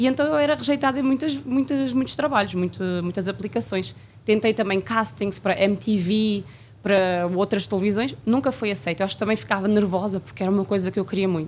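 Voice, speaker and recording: A woman has an ordinary speaking voice at a medium pitch, with lively intonation and a fairly quick pace. The recording is very clean, with a silent background. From Portugal, Coimbra region. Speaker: flight attendant. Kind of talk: interview.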